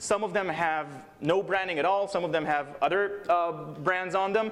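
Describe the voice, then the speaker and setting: Noticeable background noise and audible room echo surround a man speaking at a high pitch with ordinary pitch variation. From Israel. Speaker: security researcher. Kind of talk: conference talk. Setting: stage with audience. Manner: fast.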